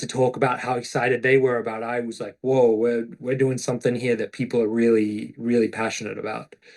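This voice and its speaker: With an Australian accent, a man talks at a fairly quick pace in a medium pitch and a monotone, flat intonation. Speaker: actor. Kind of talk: interview. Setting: podcast interview.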